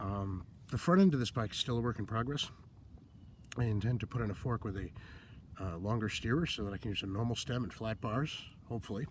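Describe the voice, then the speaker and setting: The speech runs at a fairly quick pace, somewhat breathy, with ordinary pitch variation. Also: man, medium pitch for a man. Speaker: vintage bike enthusiast. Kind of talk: casual talk to camera.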